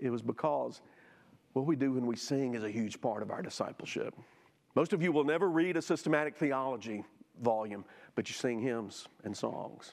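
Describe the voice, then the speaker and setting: His pace is moderate. This man talks in a Southern US accent. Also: medium pitch for a man, ordinary pitch variation. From US South (Jackson, Mississippi). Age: 50s. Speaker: church teacher. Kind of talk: Sunday school lesson.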